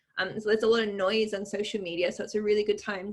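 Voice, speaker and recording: Speaking at a very fast pace, a woman uses a fairly high, somewhat breathy voice. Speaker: author. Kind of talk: interview.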